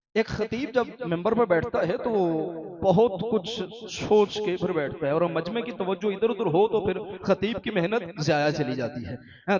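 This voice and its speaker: Over noticeable background noise, a man talks in a high pitch with lively intonation. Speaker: Shia religious orator giving a majlis sermon. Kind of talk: majlis sermon to a live congregation. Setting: live majlis hall with congregation and salawat responses. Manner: oratorical, emphatic preaching with repetition and calls to congregation.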